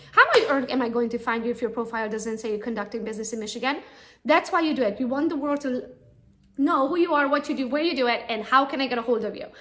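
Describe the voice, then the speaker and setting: A woman talks at a very fast pace with a high pitch. Her pitch varies in an ordinary way, and room echo is audible. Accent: non-native. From Romania (Transylvania). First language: not English (English is her third language). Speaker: real estate agent. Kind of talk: conference talk. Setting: real estate expo.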